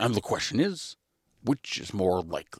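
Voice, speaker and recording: Using a put-on character voice, a man speaks at a medium pitch and a moderate pace. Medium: read story. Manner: earnest, musing.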